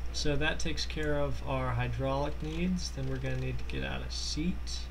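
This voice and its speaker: In a room with audible echo and noticeable background noise, a man speaks in a very deep, low pitch at a moderate pace with monotone, flat intonation. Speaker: gaming tutorial maker. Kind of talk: tutorial. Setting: Skype call running during recording. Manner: halting, stuttering. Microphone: poor mic sound.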